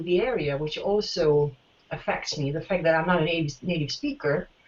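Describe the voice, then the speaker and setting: Her intonation is lively as this woman speaks at a moderate pace. She has a non-native accent. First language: not English. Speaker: teacher and former master's student. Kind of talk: interview. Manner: halting, many fillers.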